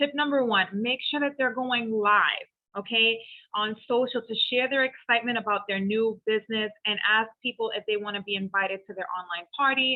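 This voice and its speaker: The speaker is a woman with an unremarkable speaking voice. Her pitch is fairly high and her pace moderate. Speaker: direct sales team leader. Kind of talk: training call.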